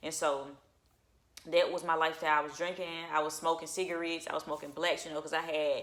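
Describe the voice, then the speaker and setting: A woman with a very deep, low pitch talks at a fairly quick pace in an animated, bright, sharp tone. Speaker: channel owner sharing personal testimony. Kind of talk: testimony. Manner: fast.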